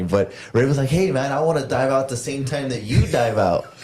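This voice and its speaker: Room echo and noticeable background noise surround the recording. A man speaks at medium pitch with ordinary pitch variation. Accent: American. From Texas, Rio Grande Valley. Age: 30s. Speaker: professional wrestler. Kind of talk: casual chat.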